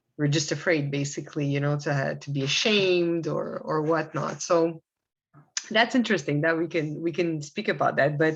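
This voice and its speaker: A woman with a very deep, low voice talks at a moderate pace against a quiet background, her pitch varying in an ordinary way. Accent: Quebec. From Quebec, Canada. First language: Arabic. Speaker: assistant director of spiritual organization. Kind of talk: podcast interview. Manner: hesitant, many fillers.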